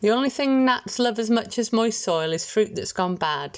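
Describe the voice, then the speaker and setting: A woman with an ordinary speaking voice talks at a moderate pace on a very clean recording with a silent background. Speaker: volunteer newsreader. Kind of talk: reading aloud.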